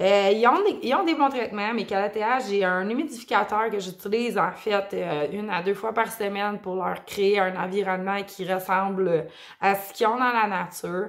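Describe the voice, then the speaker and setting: Speaking with a Quebec accent, a woman talks at a medium pitch. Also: ordinary pitch variation, moderate pace. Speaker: plant YouTuber. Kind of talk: casual video vlog. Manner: hesitant, many fillers.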